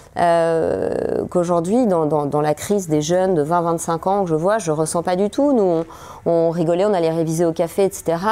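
A woman's fairly low-pitched voice with a dark, mellow tone, ordinary pitch variation, very even loudness and a moderate pace. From France, Paris. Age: 40s. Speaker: psychologist. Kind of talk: interview.

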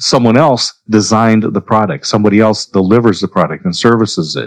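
At a moderate pace, a man talks in a normal speaking voice with a fairly low pitch. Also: dry, close sound with no echo. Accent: American. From Oregon, US. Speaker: business networking coach and author. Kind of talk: interview conversation.

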